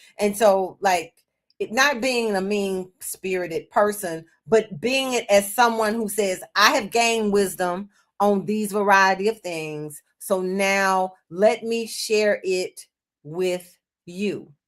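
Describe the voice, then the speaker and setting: A woman with an American accent talks at a very slow pace, her medium pitch showing ordinary variation. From US South, Memphis. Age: 60s. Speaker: children's book author. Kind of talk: interview conversation.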